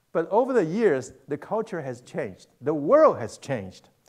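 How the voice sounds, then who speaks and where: Against a quiet background, a man with a Mandarin accent speaks at a moderate pace and a high pitch, his voice making very wide pitch swings. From Taiwan, then Argentina (Buenos Aires) from age 13. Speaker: pastor. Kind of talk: sermon. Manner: halting, many fillers and repetitions. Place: church.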